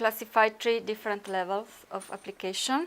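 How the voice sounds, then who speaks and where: A woman of medium pitch with an Italian accent. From Italy. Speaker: researcher. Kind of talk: conference talk. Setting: conference workshop. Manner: halting, many fillers.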